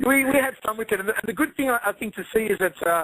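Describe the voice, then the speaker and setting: In a dry, close recording with no echo, a man talks very fast in a bright, sharp tone with ordinary pitch variation. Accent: Australian. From Australia. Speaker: MMA commentator. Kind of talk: interview.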